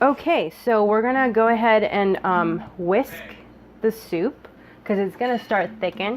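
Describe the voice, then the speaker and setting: A woman's very slow delivery with ordinary pitch variation. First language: Japanese. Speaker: cooking video host. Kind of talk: cooking tutorial. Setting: home kitchen. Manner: casual, chatty.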